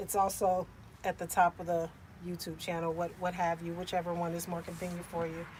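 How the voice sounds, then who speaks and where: Somewhat breathy and fairly low in pitch, a woman speaks at a fairly quick pace. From US Midwest, Cincinnati, Ohio. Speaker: vanlife content creator, livestreamer. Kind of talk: casual livestream chat. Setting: inside a van, sunny. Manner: animated.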